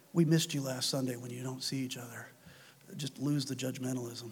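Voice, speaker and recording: A man speaks in a solemn tone at a fairly quick pace. His voice is somewhat breathy. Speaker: preacher. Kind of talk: sermon closing with a fervent, earnest prayer, reverent and heartfelt. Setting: church. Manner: earnest, solemn, fervent.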